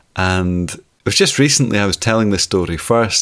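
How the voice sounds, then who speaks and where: With a Scottish accent, the speaker goes at a moderate pace with ordinary pitch variation on a very clean recording with a silent background. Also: man. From Scotland. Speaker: storyteller. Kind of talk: storytelling.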